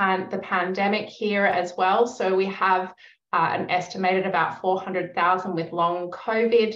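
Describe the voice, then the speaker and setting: A woman with an Australian accent speaks at a medium pitch and a fairly slow pace, her intonation fairly even, with audible room echo. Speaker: researcher, yoga and meditation teacher. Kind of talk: academic conference presentation.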